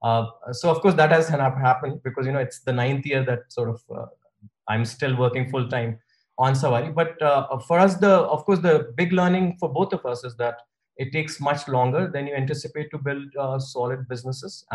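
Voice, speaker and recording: A somewhat breathy man's voice with a fairly high pitch. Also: ordinary pitch variation, fairly quick pace. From India. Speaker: car rental company founder. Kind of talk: interview.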